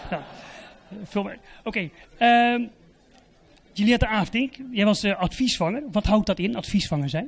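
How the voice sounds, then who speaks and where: Speaking at a moderate pace in a high voice, a man uses ordinary pitch variation and leaves long, frequent pauses. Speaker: event moderator. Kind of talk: event hosting. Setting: stage with audience. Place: hall. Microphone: handheld.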